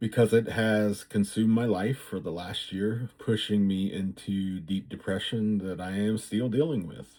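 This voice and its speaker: The voice has a dark, mellow tone on a very clean recording with a silent background. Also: man. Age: 60s. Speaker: vlogger. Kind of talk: personal vlog monologue. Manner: halting, many fillers.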